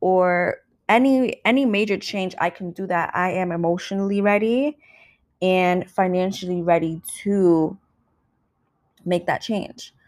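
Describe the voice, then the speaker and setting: On a very clean recording with a silent background, a woman with a New York accent speaks at a fairly slow pace with ordinary pitch variation. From New York City, Brooklyn. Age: 20s. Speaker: podcast host. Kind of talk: solo podcast monologue. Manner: casual.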